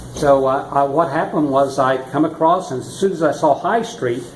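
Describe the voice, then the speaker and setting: A man at a fairly high pitch, moderate pace and ordinary pitch variation, with audible room echo and noticeable background noise. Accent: American. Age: 60s. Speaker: retired-age driver fined in traffic court. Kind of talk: interview. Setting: courthouse. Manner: halting.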